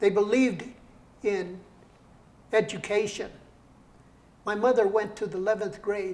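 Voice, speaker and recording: The speaker has an American accent and a moderate pace. The intonation is monotone and flat, with long, frequent pauses. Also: man, high pitch for a man. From Colorado, Brighton area. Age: 80s+. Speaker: poet and entrepreneur. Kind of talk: interview.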